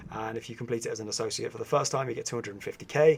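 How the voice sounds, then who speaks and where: A man rattles along at a very fast pace with lively intonation over noticeable background noise. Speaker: gaming youtuber. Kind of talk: tutorial.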